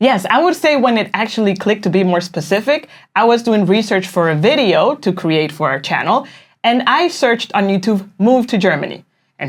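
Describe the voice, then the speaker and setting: With a Spanish accent, a woman talks at a fairly quick pace. Her medium pitch carries lively intonation. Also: very clean recording, silent background. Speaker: online business coach. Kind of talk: casual explainer.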